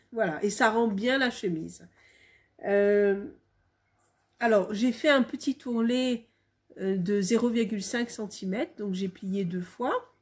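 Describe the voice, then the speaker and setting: Very slow and somewhat breathy, a woman speaks at a fairly high pitch with ordinary pitch variation and long, frequent pauses. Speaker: home sewer. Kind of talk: casual talk to camera.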